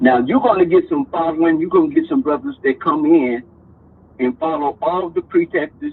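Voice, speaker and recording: A man is talking. His pace is moderate. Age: 60s. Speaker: caller. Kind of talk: call-in discussion. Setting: call-in to online show. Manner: halting, repeats words.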